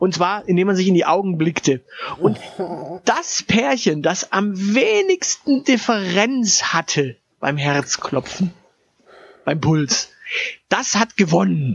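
Very slow pace, with long, frequent pauses. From Baden-Württemberg, Neckar valley. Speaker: podcast co-host. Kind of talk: casual chat.

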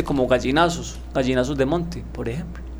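The room gives off audible echo. A man talks at a moderate speed. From Colombia, Andes (Antioquia). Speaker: conservationist. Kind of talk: radio interview.

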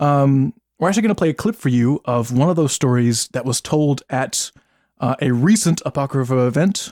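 Playful tone from a man at medium pitch, moderate pace and ordinary pitch variation, in a very clean recording with a silent background and a dry, close sound with no echo. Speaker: podcast co-host. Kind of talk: casual chat. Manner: joking, playful, hesitant.

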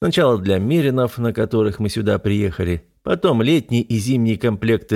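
Plain reading aloud with ordinary pitch variation

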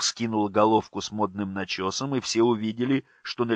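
A text is being read aloud in a natural voice.

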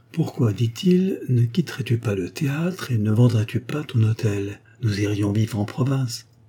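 A natural voice reading aloud

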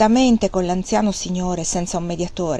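Unforced reading from a single voice

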